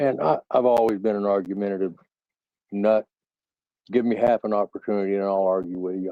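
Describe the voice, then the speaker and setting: Intonation here is monotone and flat, carried in an American accent. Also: man. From US West Coast, San Francisco Bay Area. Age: 70s. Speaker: panel participant. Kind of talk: casual chat.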